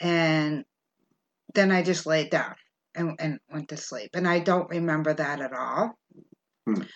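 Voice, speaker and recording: Her voice very deep and low, a woman speaks at a fairly slow pace with long, frequent pauses and ordinary pitch variation, in a dry, close sound with no echo. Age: 50s. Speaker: podcast host. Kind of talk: casual storytelling chat.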